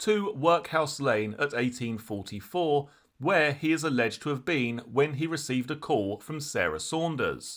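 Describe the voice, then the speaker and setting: On a very clean recording with a silent background, a man with a plain, everyday voice speaks at a moderate pace with lively intonation. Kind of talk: true crime narration.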